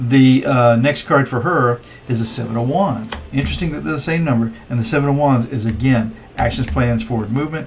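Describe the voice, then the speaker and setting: A man at medium pitch with lively intonation and a fairly quick pace, over noticeable background noise. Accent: American. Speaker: tarot reader. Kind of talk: tarot reading commentary. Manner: hesitant, many fillers; casual, chatty.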